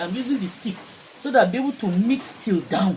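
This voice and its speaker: A high-pitched man at a fairly quick pace with lively intonation, against noticeable background noise. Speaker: soap maker. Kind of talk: tutorial. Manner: conversational, repeats for emphasis.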